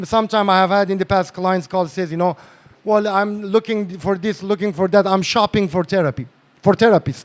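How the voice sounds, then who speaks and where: Fairly quick and animated, a man with a non-native accent talks at a high pitch with ordinary pitch variation. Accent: non-native English accent, self-described. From northern Iran. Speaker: psychotherapist and lecturer. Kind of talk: lecture.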